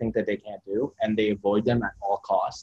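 A man's plain, everyday voice at a fairly quick pace, with ordinary pitch variation and a dry, close sound with no echo. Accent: Canadian. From Kitchener-Waterloo, Ontario, Canada (Middle Eastern refugee family). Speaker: photographer and YouTuber. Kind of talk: casual interview.

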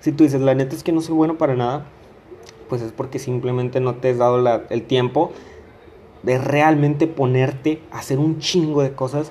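With a normal speaking voice, a man talks at a moderate pace in a fairly high pitch and with fairly even intonation. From Mexico, Coahuila. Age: 20s. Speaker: podcaster. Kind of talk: casual monologue.

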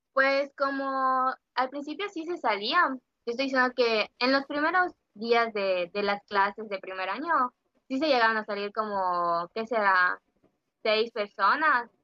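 This woman speaks at a fairly slow pace with lively intonation. Her pitch is high. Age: 20s. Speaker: social work student. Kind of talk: casual interview chat. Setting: at home, remote recording.

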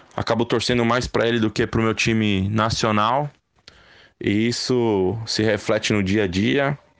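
A man with a normal speaking voice, medium pitch and moderate pace, against a quiet background. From Brazil, São Paulo city. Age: 30s. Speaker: football fan. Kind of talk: recorded testimony.

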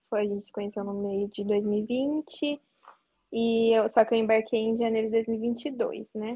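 A woman's somewhat breathy, fairly high voice at a fairly slow pace, with fairly even intonation. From interior of São Paulo state, Brazil. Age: 20s. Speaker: former au pair. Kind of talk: casual interview.

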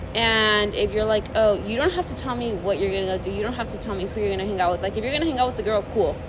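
Over noticeable background noise and audible room echo, a woman with a fairly high pitch and ordinary pitch variation speaks at a very fast pace with hardly any pauses. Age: 20s. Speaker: podcast co-host, ex-girlfriend. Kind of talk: casual chat.

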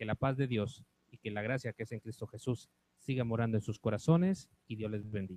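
A man's dark, mellow tone comes through at a fairly quick pace. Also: medium pitch for a man, ordinary pitch variation, dry, close sound with no echo. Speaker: radio announcer. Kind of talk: radio announcement. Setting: radio studio.

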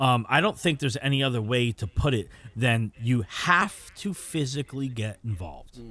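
A man with an unremarkable speaking voice speaks at a moderate pace with lively intonation. The recording is very clean, with a silent background. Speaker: radio co-host. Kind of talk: live talk radio show.

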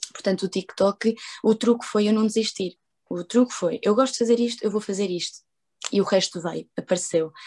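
A woman's medium-pitched voice, dark and mellow in tone, with ordinary pitch variation, a moderate pace and a dry, close sound with no echo. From Portugal. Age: 20s. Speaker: social media content creator. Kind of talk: casual interview. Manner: animated.

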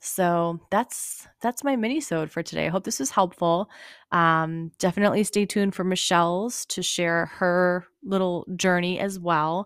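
In a very clean recording with a silent background and a dry, close sound with no echo, a woman with an ordinary speaking voice talks at a fairly slow pace, her medium pitch showing ordinary variation. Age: 30s. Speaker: fitness podcast host and nutrition coach. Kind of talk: casual solo monologue. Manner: casual with frequent fillers and laughs.

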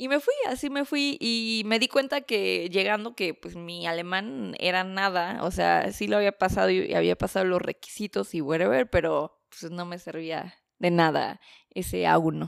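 Recorded very cleanly over a silent background, a woman speaks at a fairly slow pace. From Mexico City. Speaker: journalist and documentary maker. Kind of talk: casual interview chat.

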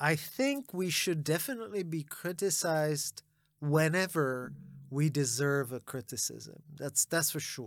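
On a very clean recording with a silent background, a normal speaking voice moves at a fairly slow pace with ordinary pitch variation. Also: man, fairly high pitch for a man. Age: 40s. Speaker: venture capital investor. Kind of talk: interview conversation.

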